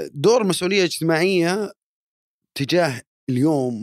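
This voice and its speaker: The man's voice swings very widely in pitch. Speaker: podcast host. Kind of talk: interview podcast.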